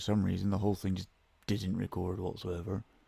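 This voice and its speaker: Speaking at a very fast pace with a Scottish accent, a man uses a fairly low pitch, a dark, mellow tone and monotone, flat intonation. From Scotland. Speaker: podcast host. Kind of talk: casual monologue. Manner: somber tone.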